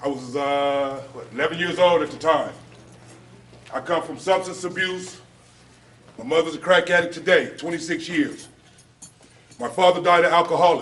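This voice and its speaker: Over background music, a man with an American accent speaks in a high voice with ordinary pitch variation and long, frequent pauses. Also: moderate pace, big swings in loudness. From Los Angeles, US West Coast. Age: 40s. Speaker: officer and former gang member. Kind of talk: public talk at a luncheon.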